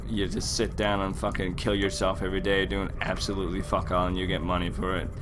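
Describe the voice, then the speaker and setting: Noticeable background noise runs under a man's speech, along with audible room echo. He moves at a fairly quick pace. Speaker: gaming YouTuber. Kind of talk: gameplay commentary rant. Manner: casual, rambling with repetitions.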